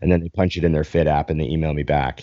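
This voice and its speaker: A man's very deep, low voice with a Canadian accent. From Canada. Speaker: bodybuilding podcast host and coach. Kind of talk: casual chat. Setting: live stream video call.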